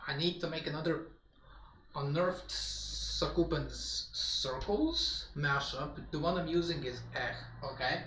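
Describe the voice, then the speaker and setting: Noticeable background noise and audible room echo around a man talking at a fairly slow pace. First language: Polish. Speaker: gaming streamer. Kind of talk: casual live-stream chat.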